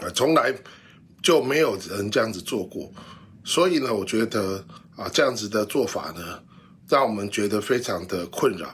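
A man with a fairly low pitch speaks at a moderate pace with lively intonation. His speech has long, frequent pauses. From Taiwan. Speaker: travel industry association head. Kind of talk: news interview soundbite. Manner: hesitant, many fillers. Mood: concerned, complaining. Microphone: phone near.

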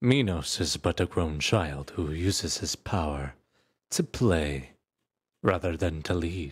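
At a very slow pace, a man with a very deep, low pitch speaks in a theatrical, menacing tone, somewhat breathy and with ordinary pitch variation, on a very clean recording with a silent background. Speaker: voice actor performing a fictional character. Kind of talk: dramatic narration, in-character roleplay ASMR-style audio drama. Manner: theatrical, menacing, condescending, shifting from cold taunts to forceful outbursts.

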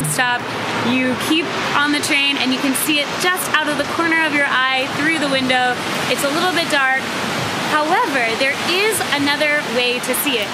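Loud background noise sits behind a woman speaking at a fairly quick pace. Her pitch moves in an ordinary way. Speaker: travel vlogger. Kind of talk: casual vlog chat. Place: street. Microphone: phone near.

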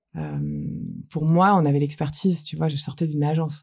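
Against a quiet background, the voice has a dark, mellow tone and sounds somewhat breathy. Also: woman. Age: 40s. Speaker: entrepreneur; guest. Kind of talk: casual interview chat. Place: studio. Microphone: studio mic.

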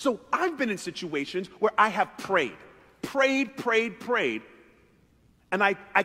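At a moderate pace, a man talks in a raised, projected voice. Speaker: pastor. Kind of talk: sermon. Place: church. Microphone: headset.

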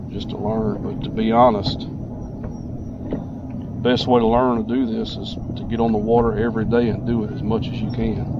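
A man talks at a fairly quick pace amid noticeable background noise. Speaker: fishing guide. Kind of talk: interview answer. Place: boat. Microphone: camera far.

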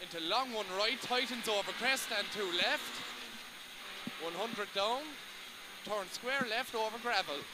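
A man's high, raised, projected voice in a Cork accent, fairly slow with long, frequent pauses and ordinary pitch variation, dry with no echo, over loud background noise. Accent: Cork Irish. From Ireland, Cork. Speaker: rally co-driver. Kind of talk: pace note calling. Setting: in a rally car during a stage. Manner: breaks into laughs and swearing between calls. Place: car. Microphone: headset.

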